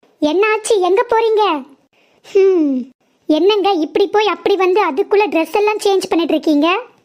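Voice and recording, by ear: A woman does a cartoonish character voice at an extremely high pitch and a moderate pace. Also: very even loudness.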